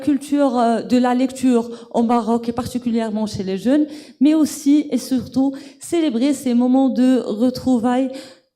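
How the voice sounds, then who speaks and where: Fairly slow pace over noticeable background noise. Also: woman. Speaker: book club host. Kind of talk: event moderation.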